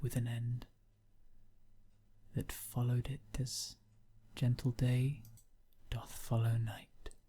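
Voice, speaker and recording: Soft-spoken and somewhat breathy, a man with a dark, mellow tone and medium pitch speaks very slowly in a monotone, flat intonation. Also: long, frequent pauses. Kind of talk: poetry reading.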